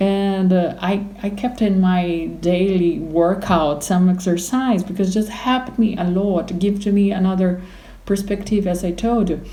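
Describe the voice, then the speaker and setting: A woman with a Portuguese accent at medium pitch, fairly slow and fairly even in intonation, with audible room echo. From Brazil. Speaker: opera singer. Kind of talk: interview. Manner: halting.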